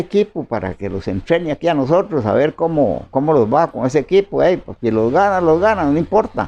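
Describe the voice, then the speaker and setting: Dark and mellow in tone, a man's voice swings very widely in pitch. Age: 80s+. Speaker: farmer settler. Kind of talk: oral history interview. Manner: halting, many fillers.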